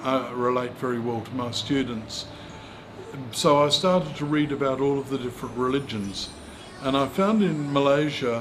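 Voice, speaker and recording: There is audible room echo and noticeable background noise. Over it, a man speaks at a medium pitch and a moderate pace. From rural South Australia. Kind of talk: interview. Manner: halting.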